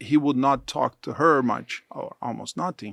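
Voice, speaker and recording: The sound is dry and close, with no echo. The pace is fairly slow. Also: man. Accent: Portuguese. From southern Brazil. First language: Portuguese. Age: 60s. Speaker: church mission leader. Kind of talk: interview.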